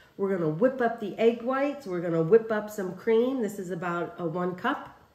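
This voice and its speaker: With audible room echo, a woman speaks using ordinary pitch variation. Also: moderate pace. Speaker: home cook host. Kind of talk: tutorial. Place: kitchen.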